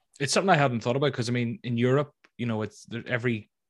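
The speaker has a Northern Irish accent and fairly even intonation. The recording is very clean, with a silent background. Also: man. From Northern Ireland, near Belfast. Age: 20s. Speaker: fantasy football YouTuber. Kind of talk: casual interview.

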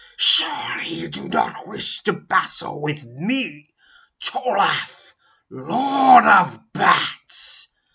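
A man puts on a character voice, high-pitched, raspy and growling. He speaks very slowly in a menacing tone. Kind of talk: formal, archaic. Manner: snarling, menacing.

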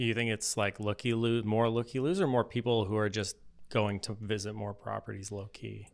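A man with an ordinary speaking voice, fairly low in pitch, fairly quick, with fairly even intonation. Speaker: market analyst, co-host. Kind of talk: casual interview chat. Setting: studio.

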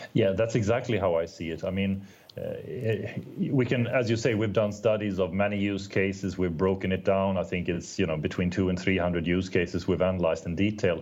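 Fairly quick speech in a Swedish accent, with fairly even intonation. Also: man, very deep, low pitch for a man. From Sweden. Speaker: telecom executive. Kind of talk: interview. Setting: remote call.

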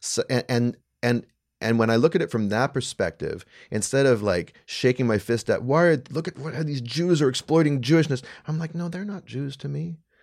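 A man's unremarkable speaking voice at a fairly high pitch, with a fairly quick pace, lively intonation, and a very clean recording over a silent background. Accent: Canadian. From Canada. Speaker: writer and commentator. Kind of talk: casual chat. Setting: studio.

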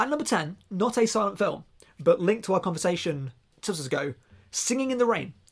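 On a very clean recording with a silent background, a man talks in a southern English accent. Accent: southern English, regional. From southern England, near Reading. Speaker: podcast host. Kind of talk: casual podcast chat.

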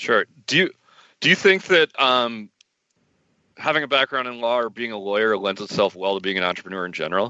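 An ordinary speaking voice from a man, medium in pitch, with lively intonation at a fairly quick pace. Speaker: podcast host. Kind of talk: casual interview.

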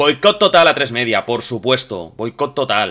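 Vocal fry runs through this man's bright, sharp tone. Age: 30s. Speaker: podcast host. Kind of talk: casual chat. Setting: live stream.

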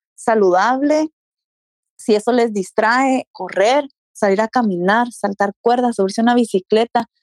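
A woman's unremarkable speaking voice at a fairly slow pace, with ordinary pitch variation and a dry, close sound free of echo. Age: 30s. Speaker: fitness enthusiast. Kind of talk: casual interview.

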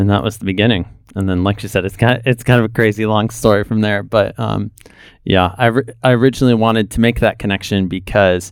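This very clean recording with a silent background carries very fast speech in an American accent with fairly even intonation. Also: man. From North Africa and Middle East (American family). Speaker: drama student and missionary. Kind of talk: interview. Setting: studio.

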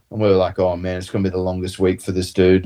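With an Australian accent, a man speaks in a dark, mellow tone. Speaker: professional rugby player. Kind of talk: casual chat. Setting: video call.

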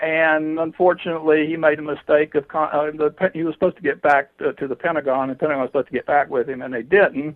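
In a Southern US accent, a man with a fairly high pitch talks at a very fast pace with hardly any pauses and fairly even intonation. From US South, southwestern Georgia. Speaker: UFO investigator. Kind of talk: interview. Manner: halting, many fillers.

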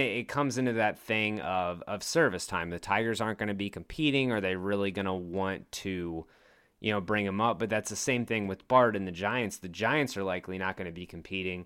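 This man has a plain, everyday voice, pitched fairly low, with an American accent, a moderate pace and ordinary pitch variation. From Virginia, Richmond. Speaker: sports podcast host, former college baseball player. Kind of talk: casual chat.

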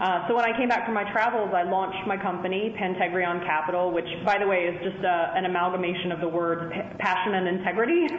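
A woman with an American accent, medium-pitched and very fast, her intonation fairly even, over noticeable background noise. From South Carolina. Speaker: angel investor. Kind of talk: interview. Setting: phone call.

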